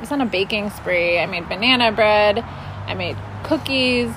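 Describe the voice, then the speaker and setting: With noticeable background noise behind her, a woman speaks at a fairly slow pace with ordinary pitch variation. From Minneapolis, Minnesota. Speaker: food policy council director. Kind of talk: casual interview. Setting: outdoors.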